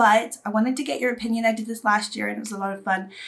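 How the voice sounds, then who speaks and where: A woman speaks over noticeable background noise. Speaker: beauty youtuber. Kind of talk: casual vlog talk to camera.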